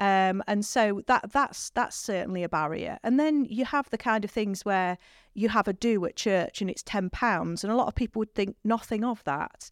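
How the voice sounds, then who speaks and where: At a moderate pace and fairly high pitch, a woman talks with hardly any pauses and ordinary pitch variation, in a dry, close sound with no echo. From northern England. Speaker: priest. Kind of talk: casual interview chat. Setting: studio.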